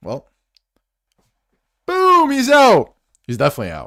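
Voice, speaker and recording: In a very clean recording with a silent background, a man is speaking. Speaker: sports streamer. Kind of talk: live watch-along commentary. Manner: animated, loud.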